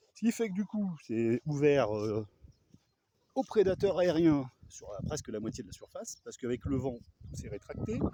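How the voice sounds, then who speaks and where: A man speaks at a moderate pace with a fairly high pitch and a dark, mellow tone. His pitch swings very widely and his loudness shifts in big swings. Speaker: vlogger, hobby gardener with chickens. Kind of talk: casual vlog monologue. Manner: soft-spoken; hesitant, many fillers.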